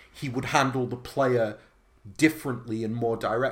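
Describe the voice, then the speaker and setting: Speaking with a British accent, this man has a medium pitch. His voice is somewhat breathy. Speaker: podcast host. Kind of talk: interview.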